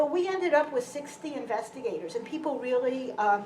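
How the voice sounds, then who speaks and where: Speaking at a moderate pace in a Brooklyn accent, a woman uses ordinary pitch variation, with audible room echo. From US Northeast, Brooklyn, New York City. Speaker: physician and health researcher. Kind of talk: public lecture. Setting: lecture hall with audience.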